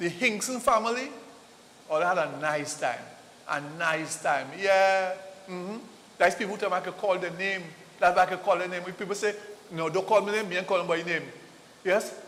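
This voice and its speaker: A man with a Trinidadian accent talks at a fairly quick pace, his pitch high with ordinary variation. He leaves long, frequent pauses. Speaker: TV host. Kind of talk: live ad read. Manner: animated; repetitive, stammering.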